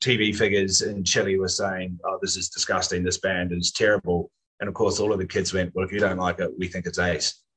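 A man speaks at a moderate pace with a New Zealand accent. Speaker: wine guide and music enthusiast. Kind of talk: casual chat.

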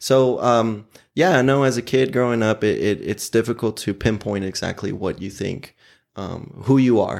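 At a medium pitch, a man with a plain, everyday voice speaks at a moderate pace with ordinary pitch variation. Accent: American. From Oklahoma City. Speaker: guest sharing personal story. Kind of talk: casual chat.

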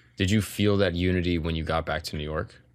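A man's very deep, low voice with fairly even intonation on a very clean recording with a silent background. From US South, Florida (Orlando suburb). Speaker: podcast host. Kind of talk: interview conversation.

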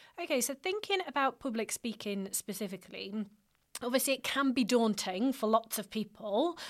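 Lively intonation marks this woman's speech in a British accent. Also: moderate pace. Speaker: podcast host. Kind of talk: interview.

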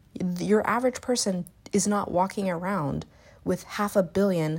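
In a very clean recording with a silent background, a woman speaks fairly slowly at a medium pitch. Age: 20s. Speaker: podcast host and student. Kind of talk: casual solo monologue.

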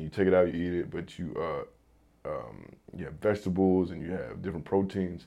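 Deep and very low, a man's voice with vocal fry moves at a fairly quick pace in an American accent. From Houston, Texas. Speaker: basketball coach, former pro player. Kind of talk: casual interview.

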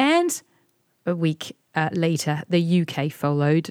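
In a very clean recording with a silent background and a dry, close sound with no echo, a woman with a French accent speaks at a fairly low pitch. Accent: French accent showing. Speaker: podcast co-host and journalist. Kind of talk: casual chat.

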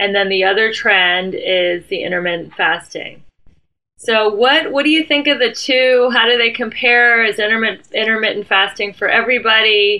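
A woman with a plain, everyday voice, fairly high in pitch, with ordinary pitch variation, very even loudness and a moderate pace. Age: 50s. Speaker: podcast host, success mentor. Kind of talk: casual interview.

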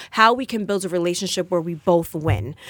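With an American accent, a woman talks at a moderate pace in an ordinary speaking voice, medium in pitch with ordinary pitch variation and a dry, close sound with no echo. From New Jersey, Passaic. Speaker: entrepreneur and sports agent. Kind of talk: interview conversation.

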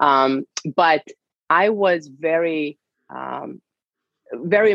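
Lively intonation from a woman in a Hungarian accent, her pitch fairly low. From Hungary. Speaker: sports science professor. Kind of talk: interview.

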